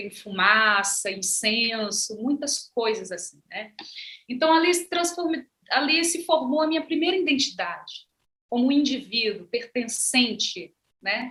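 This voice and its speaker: At a fairly slow pace, a woman speaks in a high pitch with a bright, sharp tone. Her pitch swings very widely. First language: Ze'eng eté (Guajajara) (speaking Portuguese). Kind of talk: panel conversation.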